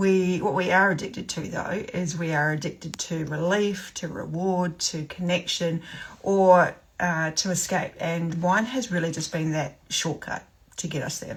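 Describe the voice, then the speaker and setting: With a New Zealand accent, a woman speaks at a fairly slow pace. Her pitch is fairly low, with ordinary variation. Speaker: sobriety coach. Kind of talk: live stream talk. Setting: livestream. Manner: casual, many fillers.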